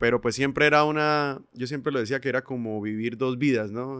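Here is a man with an ordinary speaking voice. His pitch is medium and his intonation fairly even. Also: quiet background. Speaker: singer, percussionist and music producer. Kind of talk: casual interview conversation.

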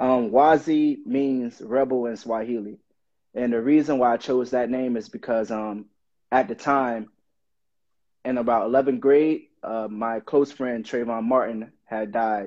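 A man speaks at a fairly slow pace in a plain, everyday voice, with medium pitch and fairly even intonation. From Miami, Florida. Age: 20s. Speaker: rapper. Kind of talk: casual interview.

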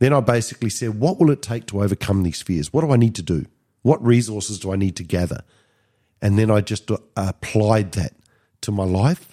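Lively in intonation, a man with a fairly low pitch and a dark, mellow tone talks at a fairly quick pace. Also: dry, close sound with no echo, very clean recording, silent background. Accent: Australian. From Australia. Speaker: podcast co-host, business coach. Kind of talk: casual self-help chat.

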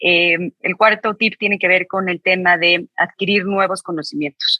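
A woman speaks at a moderate pace with a fairly low pitch and fairly even intonation. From Mexico. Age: 40s. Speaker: author and business executive. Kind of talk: interview.

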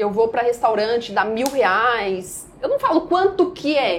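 A woman at a moderate pace, her pitch swinging very widely. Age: 20s. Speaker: day trader. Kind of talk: podcast interview.

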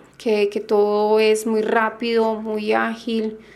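A woman speaks at a fairly high pitch. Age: 30s. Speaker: patient. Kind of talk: testimony.

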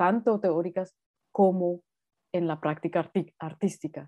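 A woman's fairly low voice, slow-paced and flat in intonation, over a quiet background. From Colombia, Bogotá. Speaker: artist. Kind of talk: interview conversation. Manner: hesitant with fillers.

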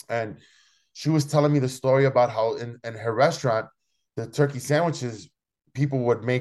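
A man with a Spanish accent speaks with ordinary pitch variation over a quiet background. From Chicago, Logan Square area. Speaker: chef and restaurant owner. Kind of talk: interview. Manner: halting, many repetitions.

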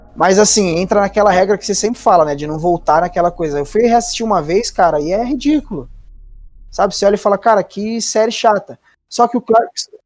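Recorded very cleanly against a silent background, a man talks fairly quickly in a high voice with ordinary pitch variation. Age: 20s. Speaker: podcast co-host. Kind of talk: casual chat.

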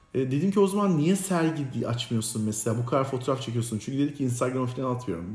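A man speaks in a somewhat breathy voice. Audible room echo is present. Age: 40s. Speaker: podcast co-host. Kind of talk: casual chat.

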